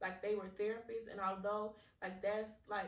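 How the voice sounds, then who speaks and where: With audible room echo around her, a woman speaks at a moderate pace in a fairly high, somewhat breathy voice. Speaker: podcast host. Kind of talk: solo podcast monologue. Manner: halting, repeats words; casual, conversational.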